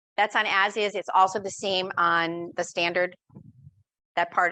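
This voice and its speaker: A woman's fairly low-pitched voice with a bright, sharp tone. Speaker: real estate trainer. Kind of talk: lecture. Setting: live class with audience and Zoom.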